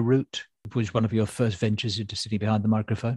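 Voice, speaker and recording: Over a quiet background, a man's somewhat breathy voice comes through dry and close with no echo. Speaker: comedy writer and podcast host. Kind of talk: casual chat.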